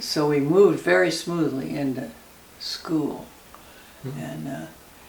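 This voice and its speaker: Noticeable background noise behind a woman's fairly slow speech. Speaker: grandmother interviewee. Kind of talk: interview answer. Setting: home kitchen. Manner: reminiscing, laughing.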